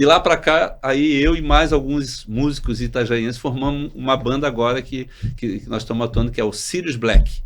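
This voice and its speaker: A man's medium-pitched voice with vocal fry, fairly even intonation, a moderate pace and hardly any pauses. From Santa Catarina coast, Brazil (Itajaí). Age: 60s. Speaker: doctor and health cooperative executive. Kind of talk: casual chat.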